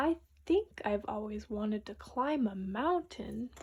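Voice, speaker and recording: The speaker uses a put-on character voice. The pace is fairly slow. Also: woman, fairly high pitch for a woman. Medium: read story. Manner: earnest, wondering.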